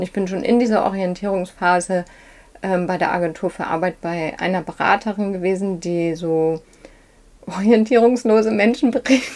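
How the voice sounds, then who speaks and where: Using a normal speaking voice, a woman speaks at a moderate pace and medium pitch with ordinary variation. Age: 40s. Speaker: fashion shop owner. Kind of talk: interview. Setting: in her shop.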